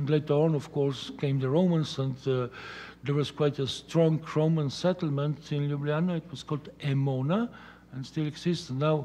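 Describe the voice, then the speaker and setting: A man with a Slovenian accent speaks at a moderate pace in a fairly high voice, his intonation staying fairly even. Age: 60s. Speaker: art critic; guest. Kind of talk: lecture. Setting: stage with audience. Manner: halting. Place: hall. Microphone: podium.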